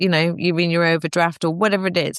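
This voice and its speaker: A woman with a northern English accent and a fairly low pitch is heard in a dry, close sound with no echo. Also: quiet background. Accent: northern English twang. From northern England. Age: 50s. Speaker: fertility expert. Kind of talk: podcast interview. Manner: animated.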